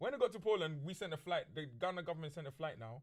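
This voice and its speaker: A man with a London accent, high-pitched and very fast. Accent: London multicultural English. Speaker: podcast host. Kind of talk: casual chat. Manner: loud; animated.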